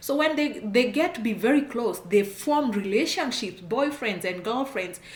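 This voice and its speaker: Animated and lively in intonation, a woman speaks at a moderate pace with audible room echo and noticeable background noise. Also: fairly high pitch for a woman. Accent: strong Kenyan. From Kenya. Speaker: immigration consultant, channel host. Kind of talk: advice talk to camera.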